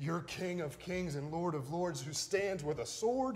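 A man speaks at a fairly slow pace in a high voice for a man, with faint music in the background. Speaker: pastor. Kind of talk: sermon preached to a congregation. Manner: passionate, emphatic. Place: church.

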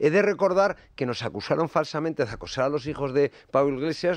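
A man talks at a very fast pace in a fairly high pitch, with ordinary pitch variation. The background is quiet and the sound is dry with no echo. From Navarra, Spain. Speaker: journalist. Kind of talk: radio panel discussion. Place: studio. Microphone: studio mic.

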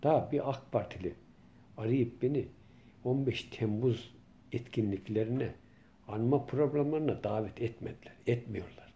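Somewhat breathy and dark, mellow in tone, a man talks at a fairly slow pace with long, frequent pauses. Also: ordinary pitch variation. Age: 50s. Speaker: local journalist and political commentator; local journalist vlogger. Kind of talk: political monologue vlog. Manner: impassioned. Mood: indignant, complaining. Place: home room. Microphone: phone near.

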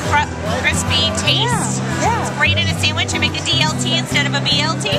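Over loud background music, a woman talks at a fairly quick pace. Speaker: vendor at a seaweed booth. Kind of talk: interview answer. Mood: friendly, enthusiastic. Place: hall. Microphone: phone near.

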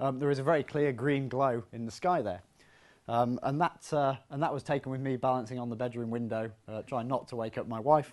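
A man talking at a fairly quick pace, with ordinary pitch variation. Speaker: physics lecturer. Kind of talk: public lecture. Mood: friendly, lightly humorous. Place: hall. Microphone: lapel.

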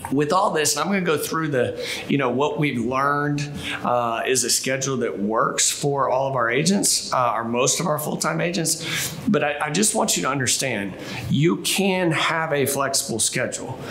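With light background noise, a man speaks at a moderate pace. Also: ordinary pitch variation. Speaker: sales team trainer. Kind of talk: training talk to camera. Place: office.

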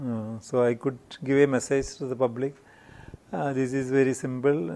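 A man with a Keralan accent, at a fairly slow pace. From India, Kerala. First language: Malayalam. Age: 60s. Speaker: industrialist; interviewee. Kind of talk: interview. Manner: halting. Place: studio. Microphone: lapel.

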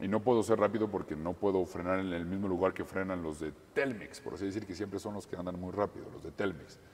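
A man's very deep, low voice at a very fast pace, fairly even in intonation, over light background noise. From Mexico. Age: 20s. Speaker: racing driver. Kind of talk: interview. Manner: halting. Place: garage. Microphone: camera far.

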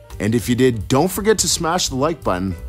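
A man at a fairly quick pace, with faint music in the background. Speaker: food challenge vlogger. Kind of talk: casual vlog outro. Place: bar.

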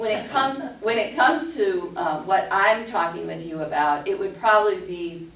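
Over light background noise and audible room echo, a woman speaks at a moderate pace. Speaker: class instructor. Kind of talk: lecture. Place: meeting room.

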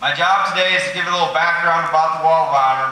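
A man with a high voice speaks at a very fast pace with fairly even intonation. The room echo is audible. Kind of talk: ceremony speech. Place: hall. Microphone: podium.

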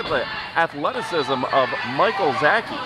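A man's voice sounds dry with no echo. Loud background noise surrounds it. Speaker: ringside commentator. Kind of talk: commentary. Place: hall.

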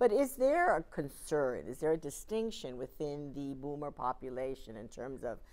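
This woman speaks at a moderate pace in a very deep, low pitch, with very wide pitch swings. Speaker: panel moderator and marketing executive; panel moderator. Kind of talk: moderated panel discussion. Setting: studio with audience. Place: studio. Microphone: headset.

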